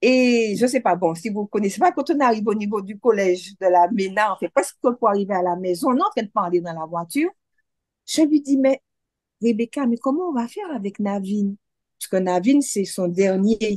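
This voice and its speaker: A woman's ordinary speaking voice, fairly high in pitch, with lively intonation, big swings in loudness, a moderate pace and a dry, close sound with no echo. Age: 60s. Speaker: cancer survivor. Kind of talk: testimony.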